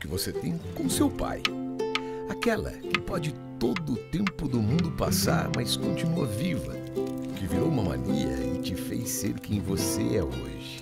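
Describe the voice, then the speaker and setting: A man talks at a very slow pace over loud background noise. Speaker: voice actor. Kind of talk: TV commercial read. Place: studio.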